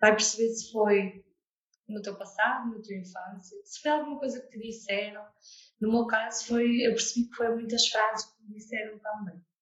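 With big swings in loudness, a woman speaks in a normal speaking voice at a fairly high pitch and a moderate pace, keeping her intonation fairly even. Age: 20s. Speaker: therapist and coach. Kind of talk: interview testimony.

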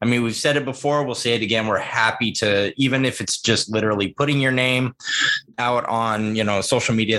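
A man talks at a very fast pace with medium pitch and ordinary pitch variation. Noticeable background noise runs underneath. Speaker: co-host. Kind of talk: casual chat.

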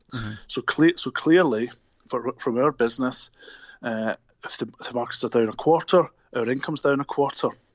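A man with a Scottish accent. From Glasgow, Scotland. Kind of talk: casual interview chat. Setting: phone call.

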